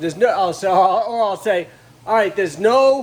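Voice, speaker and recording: A man mumbling at a moderate pace in a high pitch, lively in intonation, with noticeable background noise. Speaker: auto body restorer. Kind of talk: casual tutorial. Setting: workshop.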